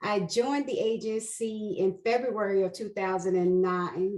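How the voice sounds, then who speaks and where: A woman speaks at a moderate pace with fairly even intonation in a plain, everyday voice. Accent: American. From New York, Queens. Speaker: investigations manager. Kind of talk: interview.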